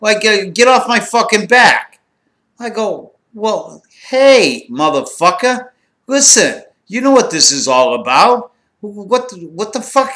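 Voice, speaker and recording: This man's voice is raised and projected, high-pitched with a bright, sharp tone. He talks at a fairly slow pace. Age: 60s. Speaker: former drug smuggler. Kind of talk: storytelling. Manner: animated.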